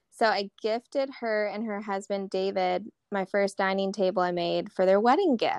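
A normal speaking voice with an American accent moves at a moderate pace with hardly any pauses and fairly even intonation. The sound is dry and close, with no echo. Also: woman, medium pitch for a woman. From North Carolina, Charlotte. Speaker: woodworking business owner. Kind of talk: casual chat.

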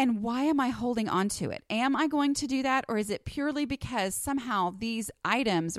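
A woman speaks at a fairly quick pace in a plain, everyday voice. The recording is very clean, with a silent background. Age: 40s. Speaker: podcast host and blogger. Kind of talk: casual monologue. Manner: conversational with fillers.

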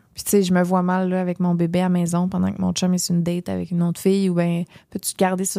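A woman talks at a very fast pace in a dark, mellow tone, her fairly low pitch held in a monotone, flat intonation. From Gaspésie, Quebec. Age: 20s. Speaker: content creator and podcast co-host. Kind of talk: casual interview chat.

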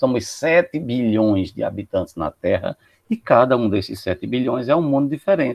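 A man with a medium pitch speaks at a moderate pace. He has a normal speaking voice. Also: lively intonation. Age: 50s. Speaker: psychologist. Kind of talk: podcast discussion.

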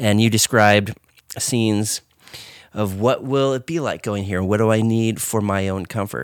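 A man speaks in an ordinary speaking voice with an American accent, fairly low in pitch and lively in intonation, at a moderate pace. The recording is very clean, with a silent background. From western US. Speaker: podcast co-host. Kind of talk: casual chat.

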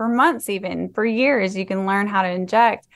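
A woman speaks at a moderate pace with a medium pitch and ordinary pitch variation over a quiet background. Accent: Texan. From Texas, Fort Worth. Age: 30s. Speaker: nurse practitioner and med spa owner. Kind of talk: interview.

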